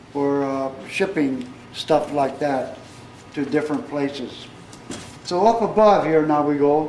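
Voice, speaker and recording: Speaking very slowly with an American accent, a man uses a fairly high pitch and ordinary pitch variation over noticeable background noise. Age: 70s. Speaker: local historian. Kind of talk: guided tour. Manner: halting.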